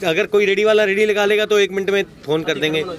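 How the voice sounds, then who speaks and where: With ordinary pitch variation, a man talks at a moderate speed as noticeable noise fills the background. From Haryana. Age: 40s. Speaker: local resident. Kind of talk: street interview.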